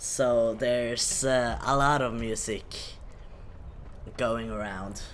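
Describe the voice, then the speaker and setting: Audible room echo surrounds a man speaking at a medium pitch with monotone, flat intonation. He goes at a very slow pace with long, frequent pauses. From Norway. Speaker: video game streamer. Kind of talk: live game stream chat. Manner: hesitant, many fillers.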